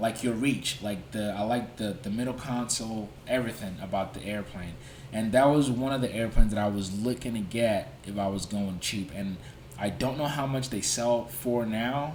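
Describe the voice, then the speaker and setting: In a room with audible echo, a man of medium pitch speaks at a moderate pace with ordinary pitch variation. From Nigeria. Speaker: YouTuber and pilot. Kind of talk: livestream Q&A. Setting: livestream. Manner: casual, conversational with fillers.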